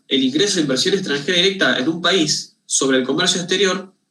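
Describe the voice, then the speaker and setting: A man speaks with a bright, sharp tone and lively intonation. Audible room echo surrounds the voice. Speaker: university lecturer. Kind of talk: lecture. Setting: video call. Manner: fast; halting, many repetitions.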